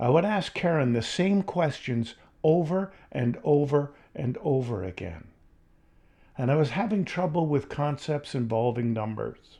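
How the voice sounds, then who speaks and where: Somewhat breathy and dark, mellow in tone, a man of fairly high pitch talks at a fairly slow pace with lively intonation. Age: 70s. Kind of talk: personal testimony vlog.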